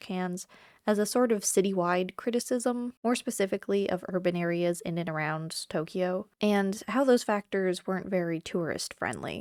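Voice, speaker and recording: A woman's unremarkable speaking voice at a medium pitch and moderate pace, with ordinary pitch variation, in a dry, close sound with no echo on a very clean recording with a silent background. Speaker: travel vlogger. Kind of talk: casual talk to camera.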